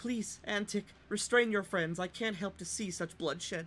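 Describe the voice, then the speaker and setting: Against clear background noise, a put-on character voice speaks at a middle pitch and a moderate pace. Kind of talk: formal, courteous. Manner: hissing, polite but threatening.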